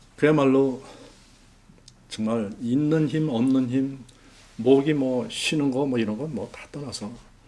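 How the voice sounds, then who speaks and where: A man speaks at medium pitch with lively intonation. Audible room echo surrounds his voice. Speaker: missionary pastor. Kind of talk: testimony sermon.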